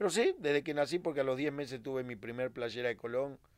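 A man with an ordinary speaking voice, fairly quick pace and fairly even intonation. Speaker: retired footballer. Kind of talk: casual interview chat.

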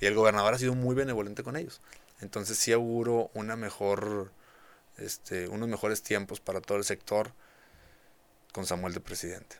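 A man's fairly low voice with fairly even intonation and long, frequent pauses. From rural Nuevo León, Mexico. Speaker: state agriculture official and cattle rancher. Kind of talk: casual interview. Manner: halting, many fillers and repetitions.

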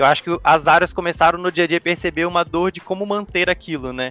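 Fairly high in pitch, a man speaks at a very fast pace with fairly even intonation. The sound is dry and close with no echo. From Brazil, Espírito Santo (Vitória). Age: 20s. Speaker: data governance professional. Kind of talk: casual chat.

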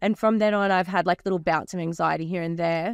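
A woman with an Australian accent speaks at a medium pitch with ordinary pitch variation, recorded dry and close with no echo in a very clean recording with a silent background. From Australia, New South Wales Central Coast. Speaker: DJ and entrepreneur. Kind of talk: casual chat. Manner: fast; animated.

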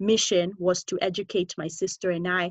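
With an American accent, a woman speaks at a medium pitch. Her pace is moderate. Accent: slight American twang over Kenyan. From Kenya. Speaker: podcast host. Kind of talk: casual interview chat.

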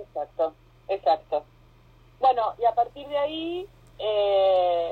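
A woman with an Argentine accent talks at a very slow pace, her fairly high voice carrying lively intonation. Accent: Argentine Spanish (Rioplatense). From Argentina. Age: 40s. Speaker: yoga teacher. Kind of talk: casual interview. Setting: phone call.

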